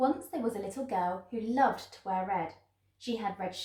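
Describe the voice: The voice is plain reading aloud, with ordinary pitch variation.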